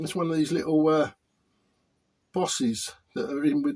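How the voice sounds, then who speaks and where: Speaking at a moderate pace, a man has a British accent. His pitch is fairly high. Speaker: hobbyist repair youtuber. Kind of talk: tutorial. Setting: workshop. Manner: halting; hesitant with repetitions.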